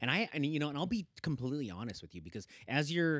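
A man with a Pacific Northwest accent at a fairly quick pace, dry and close with no echo, on a very clean recording with a silent background. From Oregon, Hillsboro area (born in the Philippines). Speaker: cycling advocacy nonprofit co-founder. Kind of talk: casual interview. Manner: animated.

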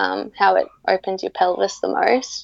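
A woman with an Australian accent at a fairly slow pace, in a dry, close sound with no echo. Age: 20s. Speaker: mother sharing birth stories. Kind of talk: interview, personal storytelling. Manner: hesitant, frequent 'um' fillers.

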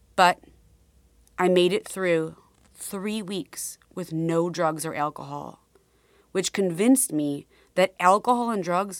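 A woman with a warm, intense tone speaks very slowly, with long, frequent pauses and ordinary pitch variation, in a very clean recording with a silent background and a dry, close sound with no echo. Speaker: podcast host and memoir author. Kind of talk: dramatic audiobook narration of her memoir, read aloud. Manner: intense, confessional, measured dramatic delivery; earnest, warm.

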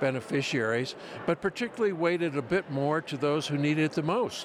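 The speaker is a man with a fairly high pitch. There is noticeable background noise. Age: 70s. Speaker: senior advocacy group president. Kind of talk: interview. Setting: conference event.

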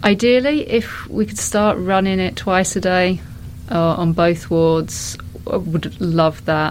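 Against noticeable background noise, a woman speaks very slowly at a medium pitch with ordinary pitch variation. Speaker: hospital staff member who set up walking group. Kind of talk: interview, explaining. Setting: hospital ward corridor.

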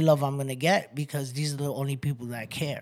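On a very clean recording with a silent background, a man with a New York accent speaks at a fairly high pitch and a fairly quick pace. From New York City. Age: 30s. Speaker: rescue mission resident. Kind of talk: testimony.

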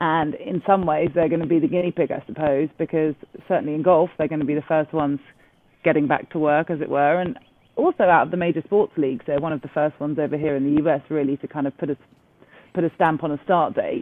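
Speaking very fast, a woman with an English accent uses a very deep, low pitch. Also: fairly even intonation. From England. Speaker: golf TV presenter. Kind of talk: interview.

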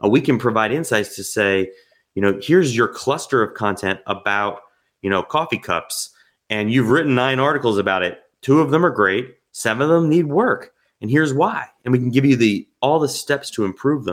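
In an American accent, a man with a normal speaking voice and medium pitch speaks at a moderate pace with lively intonation. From New Jersey. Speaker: software company co-founder. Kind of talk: interview. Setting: remote call.

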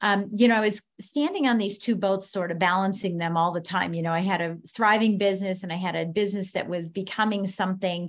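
In a normal speaking voice, a woman of medium pitch talks at a fairly quick pace with fairly even intonation and hardly any pauses against a quiet background. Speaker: leadership advisor and author. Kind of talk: interview.

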